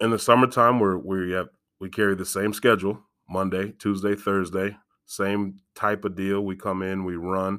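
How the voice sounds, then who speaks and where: With a Midwestern American accent, a man speaks at a moderate pace in a fairly low pitch, his intonation flat and monotone, on a very clean recording with a silent background. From Galesburg, Illinois, US Midwest. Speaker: high school football coach and school security staff. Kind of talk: casual interview.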